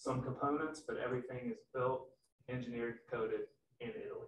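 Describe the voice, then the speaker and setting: A man speaks at a fairly quick pace with an American accent. Audible room echo and light background noise are present. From West Virginia. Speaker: sales manager. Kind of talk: product presentation. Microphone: video call.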